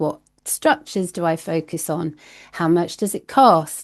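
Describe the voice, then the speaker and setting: A woman with a British accent, fairly low in pitch, with ordinary pitch variation against a quiet background. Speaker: glamping industry consultant. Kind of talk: podcast interview. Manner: animated.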